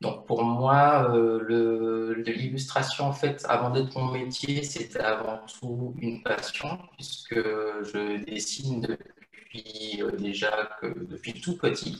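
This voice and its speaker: Very slowly and with hardly any pauses, a man speaks at medium pitch with ordinary pitch variation. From Martinique. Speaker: illustrator. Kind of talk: interview. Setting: video call. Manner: hesitant, many fillers.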